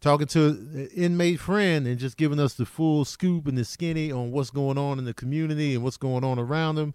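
In an unremarkable speaking voice, a man with an American accent talks at a fairly quick pace with hardly any pauses, a fairly high pitch and ordinary pitch variation. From Chicago. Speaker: comedian. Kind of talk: casual chat.

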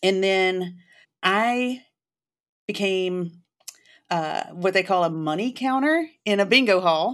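A woman with a Southern US accent speaks at a very slow pace, her intonation lively and broken by long, frequent pauses, on a very clean recording with a silent background. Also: medium pitch for a woman. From Jackson, Mississippi. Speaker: college professor. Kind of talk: interview conversation.

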